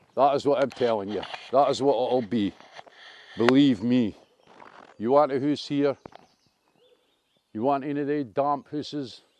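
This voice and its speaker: A man speaks in a Dundee accent at medium pitch. His pace is moderate and his pitch variation ordinary. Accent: Dundonian. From Scotland, Dundee. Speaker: vlogger. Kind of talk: walking video commentary. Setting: outdoors. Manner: animated.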